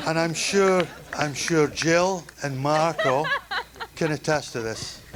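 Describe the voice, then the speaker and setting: A man talks with ordinary pitch variation while noticeable background noise runs underneath. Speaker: father of the bride. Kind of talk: wedding toast speech. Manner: halting.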